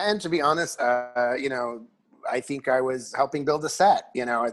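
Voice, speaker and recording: Background music plays. The man's voice sits at a medium pitch. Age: 40s. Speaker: regular podcast guest, community theater performer. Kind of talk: casual chat. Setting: remote recording from home.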